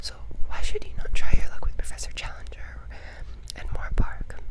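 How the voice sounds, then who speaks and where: The speaker goes at a fairly quick pace, with noticeable background noise behind them. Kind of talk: ASMR whispered book reading.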